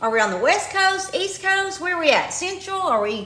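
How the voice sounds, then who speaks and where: A woman's raised, projected voice with a slight Kentucky accent, very wide pitch swings and a moderate pace, with audible room echo. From eastern Kentucky. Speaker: retired teacher promoting online income program. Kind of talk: livestream sales pitch. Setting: live stream. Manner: animated.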